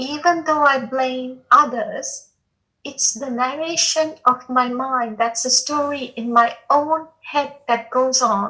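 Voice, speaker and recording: Raised and projected, a woman's high-pitched voice has a bright, sharp tone, fairly even intonation and a very slow pace. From India, New Delhi. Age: 60s. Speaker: satsang participant. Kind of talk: spiritual Q&A sharing. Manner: halting.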